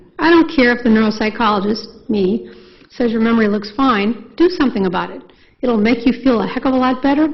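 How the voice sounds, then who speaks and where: A woman at a fairly quick pace, her pitch varying in an ordinary way. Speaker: neuropsychologist. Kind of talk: lecture. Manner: fast; animated.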